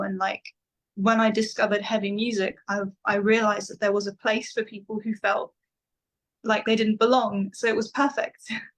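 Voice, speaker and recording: With an English accent, the speaker talks at a moderate pace in a somewhat breathy voice with monotone, flat intonation. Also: woman. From England, London then countryside. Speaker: metal vocalist. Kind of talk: interview.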